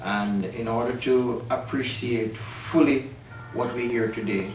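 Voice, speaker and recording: Over background music, the voice stays monotone and flat, with audible echo from the room. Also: man. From Jamaica, Manchester parish (Mandeville). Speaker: music historian guest. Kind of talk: interview.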